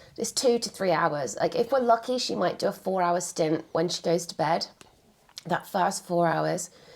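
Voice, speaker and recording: A woman with an English accent, fairly low-pitched, with lively intonation. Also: moderate pace. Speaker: couple vlogger. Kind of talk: casual chat.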